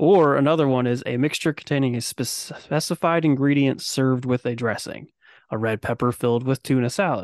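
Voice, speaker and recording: Over a quiet background, a man with an unremarkable speaking voice talks at a fairly quick pace, with medium pitch and ordinary pitch variation. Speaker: podcast host. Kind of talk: casual chat. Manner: joking, sarcastic.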